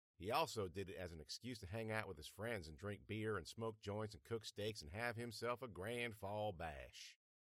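This is plain reading aloud, with pitch that varies in an ordinary way.

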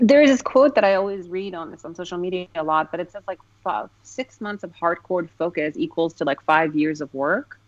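A woman with an American accent speaks in an unremarkable speaking voice at a fairly low pitch and fairly quick pace. Her intonation is lively, with big swings in loudness. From Afghanistan, then Moscow as a child, later US. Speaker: actress. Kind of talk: casual interview.

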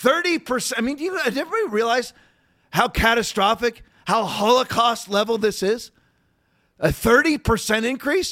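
At a moderate pace, a man speaks at an extremely high pitch with lively intonation. His tone is bright and sharp.

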